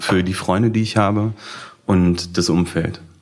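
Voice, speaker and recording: At a fairly slow pace, a man speaks in a very deep, low voice with fairly even intonation over noticeable background noise. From Berlin (Schöneberg). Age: 20s. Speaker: blind date participant. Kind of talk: casual chat.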